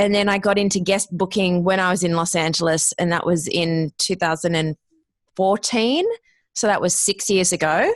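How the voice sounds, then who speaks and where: Speaking at a moderate pace with an Australian accent, a woman holds a medium pitch and fairly even intonation against a quiet background. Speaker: podcast producer and former radio host. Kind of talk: interview, casual chat.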